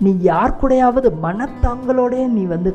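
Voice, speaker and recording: A woman's voice with music in the background. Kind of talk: sermon.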